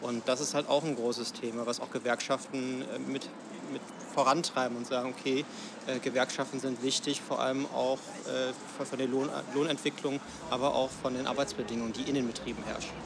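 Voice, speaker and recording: Noticeable background noise surrounds a man talking at a fairly quick pace with long, frequent pauses. His medium-pitched voice is monotone and flat. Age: 20s. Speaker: system administrator and union youth representative. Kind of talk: interview. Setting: café. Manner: halting, many fillers.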